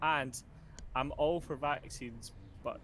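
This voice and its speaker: The speaker talks with a Scottish accent and fairly even intonation. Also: man. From Scotland. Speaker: nurse. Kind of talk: casual chat.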